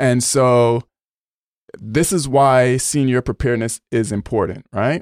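A man speaks in an ordinary speaking voice at medium pitch, with ordinary pitch variation and very even loudness, at a fairly slow pace. The recording is very clean, with a silent background. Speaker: podcast host. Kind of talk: podcast interview.

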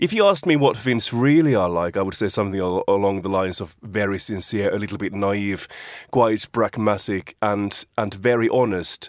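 With a Finnish accent, a man speaks at a fairly low pitch with ordinary pitch variation, the sound dry and close with no echo. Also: moderate pace. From Finland. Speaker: radio staff member. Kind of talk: panel discussion.

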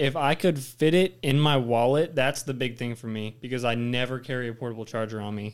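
With an ordinary speaking voice, a man talks at a fairly quick pace and medium pitch, using ordinary pitch variation and hardly any pauses. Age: young. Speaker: college student. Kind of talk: casual chat.

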